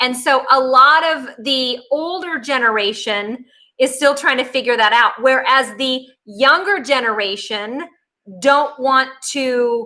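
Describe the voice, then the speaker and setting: A woman speaks very slowly in a raised, projected voice, her pitch high and her tone bright and sharp. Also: ordinary pitch variation. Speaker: psychic medium. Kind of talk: workshop lecture. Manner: casual, filler-heavy.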